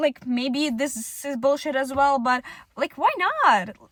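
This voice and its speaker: Recorded with a dry, close sound and no echo, a woman with a non-native accent speaks at a high pitch. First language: not English. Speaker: content creator. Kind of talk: casual vlog monologue. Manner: halting, many fillers.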